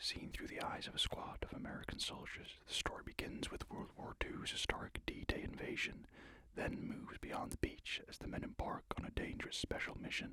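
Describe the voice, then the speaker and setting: A man is whispering at a moderate pace. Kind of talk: ASMR reading for sleep. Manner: soft-spoken, calming.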